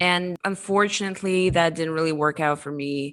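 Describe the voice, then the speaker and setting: Speaking with a non-native accent, a woman keeps a fairly even intonation. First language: not English. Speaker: crypto marketing executive. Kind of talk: interview.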